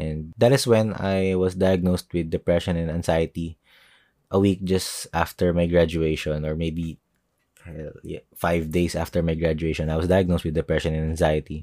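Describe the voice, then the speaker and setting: A man with a Filipino accent speaks at a moderate pace in a very deep, low pitch, his tone dark and mellow and his intonation fairly even, with a dry, close sound with no echo on a very clean recording with a silent background. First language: Tagalog. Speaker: artist and podcaster. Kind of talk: solo podcast monologue.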